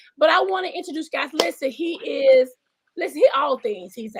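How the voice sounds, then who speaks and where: A woman's high-pitched voice with an animated tone. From US South. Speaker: talk show host. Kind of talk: interview.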